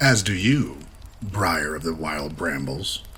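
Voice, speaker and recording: A man puts on a character voice pitched very deep and low. He goes at a fairly slow pace over clear background noise. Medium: read story. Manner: quiet, sinister.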